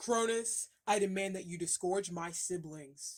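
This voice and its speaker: A put-on character voice at a fairly slow pace. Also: woman, medium pitch for a woman. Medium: read story.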